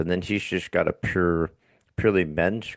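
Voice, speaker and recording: A man's voice with vocal fry and ordinary pitch variation, dry and close with no echo against a quiet background. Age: 60s. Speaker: podcast host. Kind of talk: casual chat.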